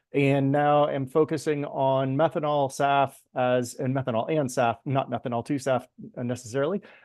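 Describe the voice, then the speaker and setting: A man with a plain, everyday voice speaks in an American accent at medium pitch and a moderate pace. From US East Coast. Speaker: energy project consultant. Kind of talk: webinar self-introduction.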